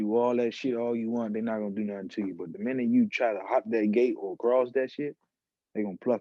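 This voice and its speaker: This is a man with an unremarkable speaking voice at a medium pitch. He talks at a fairly quick pace with ordinary pitch variation. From Washington DC, Southeast. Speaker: rapper. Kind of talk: casual chat.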